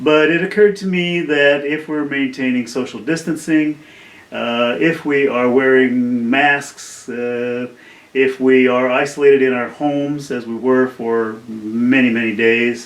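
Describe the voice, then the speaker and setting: Room echo can be heard along with noticeable background noise. The man's pitch varies in an ordinary way. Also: medium pitch for a man, fairly slow pace. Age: 70s. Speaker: independent filmmaker. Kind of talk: casual video talk about a film project. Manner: halting, many fillers.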